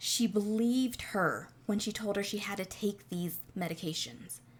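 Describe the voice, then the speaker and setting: A woman speaks at a fairly slow pace. Her voice is somewhat breathy, with lively intonation. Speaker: true crime podcaster. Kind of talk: casual true crime monologue.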